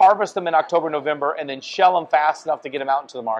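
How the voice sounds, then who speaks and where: A man speaks with a Louisiana accent. His pitch is fairly high, with ordinary pitch variation. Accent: Louisiana Southern. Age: 50s. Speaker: family business owner. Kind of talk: casual chat. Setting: restaurant.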